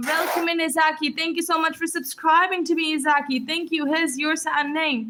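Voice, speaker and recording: A woman speaks in a raised, projected voice. Her pace is fairly quick. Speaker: livestreamer writing names in sand. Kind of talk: live stream shout-outs. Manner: fast; upbeat, energetic.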